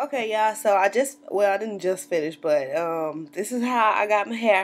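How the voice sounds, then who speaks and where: A woman with a Southern US accent speaks with lively intonation against light background noise. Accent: Southern US twang. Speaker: natural hair vlogger. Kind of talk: casual talk to camera. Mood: cheerful, chatty. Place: home room. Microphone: webcam.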